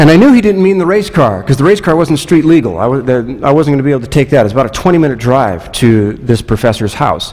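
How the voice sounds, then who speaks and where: At a very fast pace, a man talks with very wide pitch swings. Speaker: pastor. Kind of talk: sermon. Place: church.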